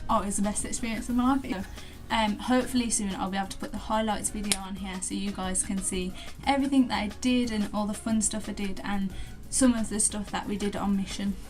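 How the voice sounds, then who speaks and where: Over background music and audible room echo, a woman with a Birmingham accent speaks very fast at a medium pitch with fairly even intonation. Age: young. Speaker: vlogger. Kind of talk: casual Q&A vlog.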